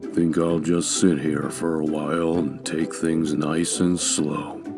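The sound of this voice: A man performs a put-on character voice at a fairly slow pace over loud background music.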